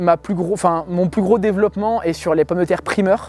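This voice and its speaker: A man speaks with a high pitch and a dark, mellow tone. His intonation stays fairly even. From France, Île-de-France (Essonne). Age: 40s. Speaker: organic farmer. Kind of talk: interview. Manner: hesitant, many fillers.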